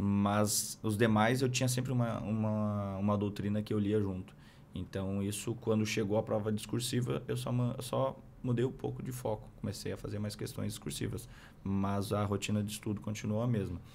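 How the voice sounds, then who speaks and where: A man's fairly low voice at a moderate pace, with ordinary pitch variation and light background noise. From Rio Grande do Sul interior, Brazil. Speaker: military police captain; podcast guest. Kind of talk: interview. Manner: halting, many fillers. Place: studio. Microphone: studio mic.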